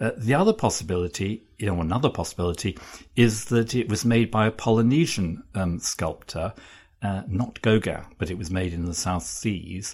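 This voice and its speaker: The voice sounds somewhat breathy. The recording is very clean, with a silent background. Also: man, fairly low pitch for a man, ordinary pitch variation, moderate pace. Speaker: art journalist. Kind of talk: interview. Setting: office. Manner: halting, many fillers.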